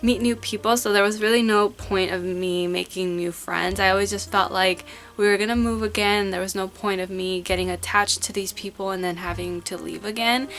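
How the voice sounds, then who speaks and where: A woman with an American accent speaks at a medium pitch and a fairly quick pace. Her intonation is fairly even, with hardly any pauses. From California. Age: 20s. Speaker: lifestyle vlogger. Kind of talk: casual chat.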